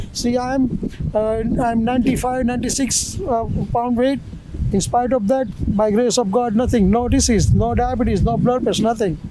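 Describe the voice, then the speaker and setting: A man's extremely high-pitched voice at a moderate pace, with fairly even intonation and very even loudness, plus audible room echo and noticeable background noise. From India. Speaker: street interviewee, tourist. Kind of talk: street interview. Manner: halting, many fillers.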